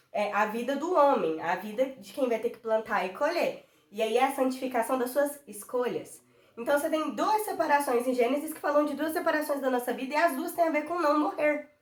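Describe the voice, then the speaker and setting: Noticeable background noise sits behind a woman with a high pitch and lively intonation. She speaks at a fairly quick pace, with big swings in loudness. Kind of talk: devotional Bible teaching. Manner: fast; passionate.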